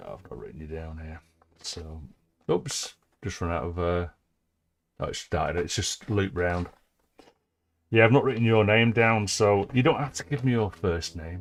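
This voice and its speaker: With an English accent, a man speaks at a fairly low pitch with lively intonation, big swings in loudness and long, frequent pauses, on a very clean recording with a silent background. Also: moderate pace. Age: 60s. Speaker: live streamer, music producer. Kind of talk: casual live-stream chat.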